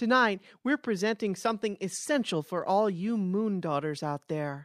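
A normal speaking voice from a woman, medium in pitch, with lively intonation and a moderate pace, in a very clean, dry, close recording with no echo and a silent background. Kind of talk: infomercial parody, scripted sketch.

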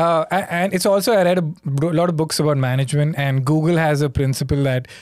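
The voice carries an Indian accent with ordinary pitch variation. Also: man. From India (Mumbai). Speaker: comedian. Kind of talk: casual chat.

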